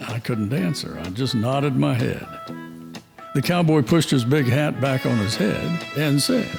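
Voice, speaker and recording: With music in the background, a man speaks at a moderate pace in a medium-pitched voice with lively intonation. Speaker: story narrator. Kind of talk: dramatized western story narration.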